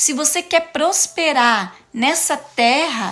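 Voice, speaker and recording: Her tone is animated. The woman's intonation rises and falls in a lively way. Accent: Paraná. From interior of Paraná, Brazil. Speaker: preacher / motivational speaker. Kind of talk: sermon-style live talk. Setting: live stream.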